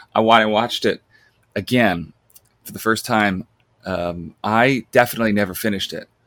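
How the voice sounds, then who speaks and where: With a dry, close sound and no echo, a man with an American accent talks at a moderate pace and fairly low pitch, using ordinary pitch variation, big swings in loudness, and long, frequent pauses. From US, Long Island, New York. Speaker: film podcaster. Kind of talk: casual chat.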